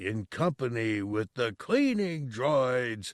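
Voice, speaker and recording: A man's put-on character voice at a medium pitch, very slow and lively in intonation, in a very clean, dry, close recording with a silent background and no echo. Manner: menacing, commanding.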